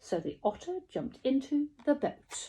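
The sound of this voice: A woman with a high voice, a dark, mellow tone and a slightly husky edge speaks at a fairly slow pace with big pitch swings.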